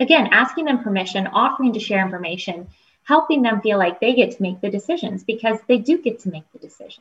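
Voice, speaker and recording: A woman with an American accent and a fairly high pitch talks at a very fast pace, her intonation lively and her loudness swinging widely. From US Midwest (Toledo, Ohio). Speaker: pharmacy professor. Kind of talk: interview. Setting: video call with live audience.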